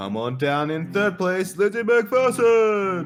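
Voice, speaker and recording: A put-on character voice from a man, high in pitch, over faint music in the background. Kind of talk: announcer-style.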